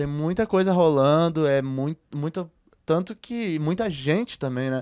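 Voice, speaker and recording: A man speaks at a fairly slow pace with a fairly high pitch and ordinary pitch variation. The sound is dry and close, with no echo. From southern Brazil, Rio Grande do Sul (Porto Alegre). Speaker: musician. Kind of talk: interview conversation. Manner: relaxed, hesitant with many fillers.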